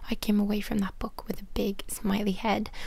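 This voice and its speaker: A soft-spoken woman talks with an Irish accent. Her pace is moderate. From Ireland. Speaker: author. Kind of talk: ASMR book reading.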